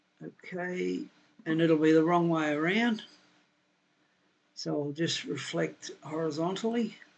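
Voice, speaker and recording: A man with an Australian accent talks at a fairly slow pace with ordinary pitch variation. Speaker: software tutorial maker, building designer. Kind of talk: screen-recorded software tutorial. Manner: casual, thinking aloud.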